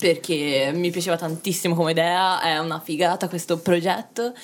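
The woman's voice sits fairly low. Behind her the background is silent, and the recording is very clean. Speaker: artist. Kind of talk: casual chat.

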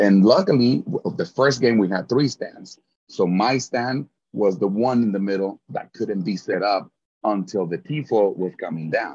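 Speaking with a Spanish accent at a fairly slow pace, a man uses a fairly low pitch with ordinary pitch variation. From Mexico, Guadalajara. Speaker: sports fan and chant leader, engineering teacher. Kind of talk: casual interview.

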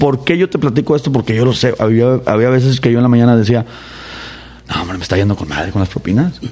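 Amid noticeable background noise, a man at a medium pitch talks at a very fast pace with ordinary pitch variation. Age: 30s. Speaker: political candidate. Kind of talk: interview.

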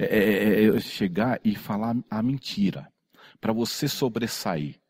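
At a fairly slow pace, a man with an ordinary speaking voice talks in a fairly low pitch, in a very clean recording with a silent background. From São Paulo, Brazil. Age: 50s. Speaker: tattoo convention organizer. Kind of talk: casual chat.

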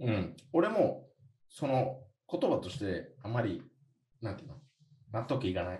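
With audible room echo, a man speaks at medium pitch in a dark, mellow, somewhat breathy tone. His pitch swings very widely at a moderate pace broken by long, frequent pauses. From USA. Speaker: podcast co-host. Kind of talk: casual chat.

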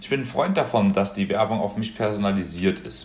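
A man with a fairly low pitch and an ordinary speaking voice. He talks at a fairly quick pace. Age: 20s. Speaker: podcast guest, student. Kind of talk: casual chat.

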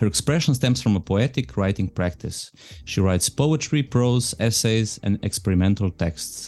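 A man's fairly low voice at a moderate pace, with very wide pitch swings, very even loudness and a quiet background. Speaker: podcast host. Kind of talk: interview conversation.

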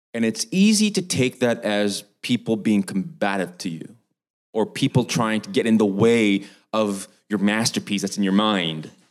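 A man talks with a Canadian accent in an unremarkable speaking voice. His pitch is fairly low, with ordinary variation, and the pace is moderate. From Vancouver Island, Canada. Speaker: film director. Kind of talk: panel discussion. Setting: online event.

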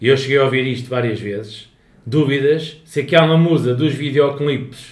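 Somewhat breathy, a man talks at a moderate pace with fairly even intonation and audible room echo. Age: 30s. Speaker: podcast co-host. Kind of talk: casual chat.

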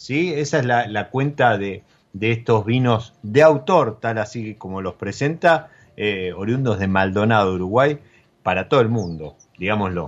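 With lively intonation, a man speaks fairly slowly at a fairly low pitch. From Argentina, Mendoza. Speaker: podcast host. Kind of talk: casual interview about wine. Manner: halting, many repeated words.

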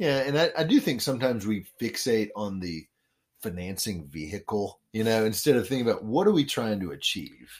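This very clean recording with a silent background features a man with a normal speaking voice and an American accent. His medium pitch carries lively intonation at a fairly quick pace. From Memphis, Tennessee and Washington DC. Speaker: real estate developer and former radio DJ. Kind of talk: radio interview.

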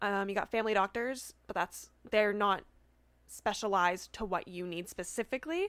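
A woman's medium-pitched voice, with ordinary pitch variation, is captured in a very clean recording with a silent background and a dry, close sound free of echo. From Canada. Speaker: student. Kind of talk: casual interview chat. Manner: fast talker; excitable, interrupts.

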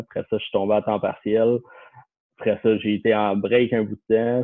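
The man's intonation is monotone and flat. His pitch stays medium. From Quebec, Lorraine north of Montreal. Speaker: financial planner. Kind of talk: casual chat.

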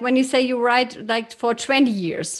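A woman speaks with a slight German accent. Her high voice is set against a quiet background. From Germany. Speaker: podcast host. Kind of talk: interview. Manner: halting.

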